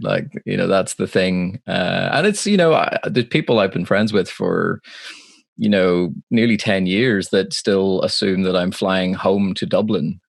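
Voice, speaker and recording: Speaking at a fairly slow pace with a Northern Irish accent, a man uses a fairly low pitch and ordinary pitch variation. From Northern Ireland, Belfast. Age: 20s. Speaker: live sound engineer. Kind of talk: casual chat. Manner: halting.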